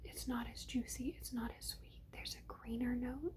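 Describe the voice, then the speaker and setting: The pace is moderate. A woman delivers it in a whisper. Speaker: ASMR creator. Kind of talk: ASMR product haul review, casual talk to camera. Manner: whispered, rambling.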